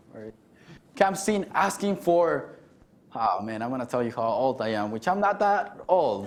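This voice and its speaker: A man in a Mexican accent speaks at a moderate pace, his pitch swinging very widely. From Mexico City, later Garden City, Kansas. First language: Spanish. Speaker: keynote speaker, alumnus. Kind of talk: keynote speech.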